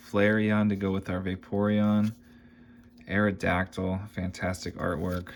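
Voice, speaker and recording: Monotone, flat intonation marks this man's delivery. His very deep, low pitch moves at a fairly slow pace. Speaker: card collecting youtuber. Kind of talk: card opening commentary. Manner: casual, relaxed.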